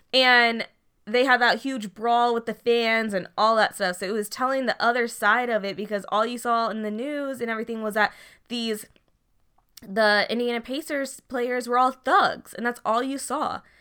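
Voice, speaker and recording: An unremarkable speaking voice from a woman, fairly high in pitch with fairly even intonation, on a very clean recording with a silent background. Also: moderate pace. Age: 20s. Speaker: podcast co-host. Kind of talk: casual chat.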